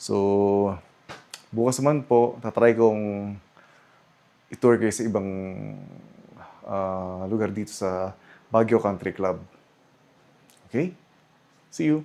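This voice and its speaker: At a very slow pace with long, frequent pauses, a man speaks at a fairly low pitch in a dark, mellow tone with ordinary pitch variation. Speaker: travel vlogger. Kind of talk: vlog hotel tour. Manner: casual, halting.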